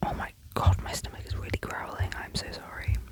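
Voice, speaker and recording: Whispering in a British accent, a woman is heard over noticeable background noise. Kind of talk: ASMR voiceover ramble. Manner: whispered, soft.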